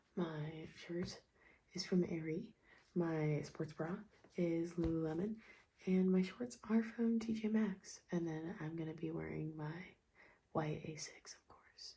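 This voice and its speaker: A somewhat breathy woman with a fairly low pitch and a dark, mellow tone speaks at a fairly slow pace, using ordinary pitch variation and big swings in loudness. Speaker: vlogger, amateur runner. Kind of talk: casual vlog talk to camera.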